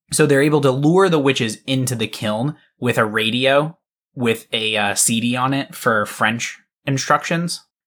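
A man with an American accent, a plain, everyday voice, medium pitch and ordinary pitch variation at a moderate pace, in a very clean recording with a silent background. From Massachusetts, US. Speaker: podcast co-host. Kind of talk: casual chat.

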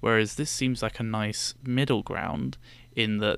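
A man's bright, sharp tone with a British accent, fairly low in pitch, at a moderate pace with fairly even intonation, in a very clean recording with a silent background. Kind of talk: casual chat. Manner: soft-spoken.

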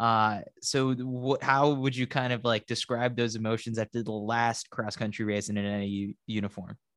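At a moderate pace and with hardly any pauses, a man talks in a medium pitch with monotone, flat intonation, recorded with a dry, close sound, no echo and a quiet background. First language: Spanish. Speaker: podcast host. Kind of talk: interview.

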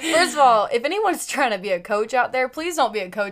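The speech moves at a fairly quick pace, animated in tone and lively in intonation. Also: woman. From US Midwest (Carmel, Indiana). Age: 20s. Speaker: entrepreneur, network marketer. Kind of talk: casual chat. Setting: home bedroom studio.

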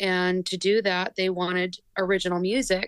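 Dry and close with no echo, a woman speaks in a flat monotone at medium pitch and a fairly slow pace, with an American accent. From United States. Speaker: lead singer of a band. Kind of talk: casual interview.

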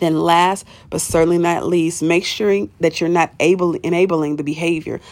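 A woman puts on a raspy character voice, fairly low-pitched, speaking at a moderate pace with monotone, flat intonation. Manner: struggling to speak.

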